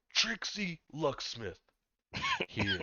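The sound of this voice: Putting on a character voice, a man sounds gravelly at a fairly high pitch.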